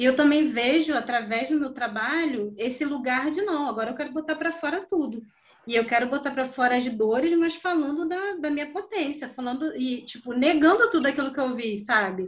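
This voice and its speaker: A woman talks at a fairly quick pace with hardly any pauses, her high pitch carried by lively intonation. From Brazil, Rio de Janeiro (Campo Grande). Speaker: visual artist, printmaker. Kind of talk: casual interview.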